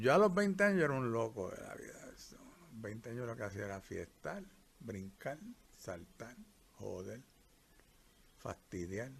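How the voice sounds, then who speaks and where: The intonation is lively and the voice somewhat breathy. Long pauses come often. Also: man, medium pitch for a man. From Puerto Rico. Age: 70s. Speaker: retired doctor. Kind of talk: life story interview. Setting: countryside during rain.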